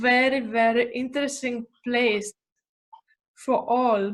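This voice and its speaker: Speaking at a fairly slow pace with a non-native accent, a woman holds a high pitch with fairly even intonation. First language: not English. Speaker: real estate agent. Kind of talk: live presentation. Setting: video call live stream. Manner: halting, searching for English words.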